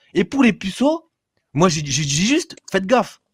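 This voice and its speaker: In a very clean recording with a silent background, a man speaks loudly at a high pitch with very wide pitch swings, the sound dry and close with no echo. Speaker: live stream caller. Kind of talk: heated debate. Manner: fast, stammering.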